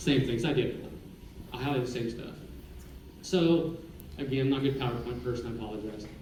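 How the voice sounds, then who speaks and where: A man with an American accent talks at a very fast pace, with long, frequent pauses, medium pitch and ordinary pitch variation. Noticeable background noise and audible room echo are present. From Oklahoma (Skiatook). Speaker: city attorney, former prosecutor. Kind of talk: public presentation to city council workshop. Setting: council chamber with audience, microphone. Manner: loud; casual, conversational.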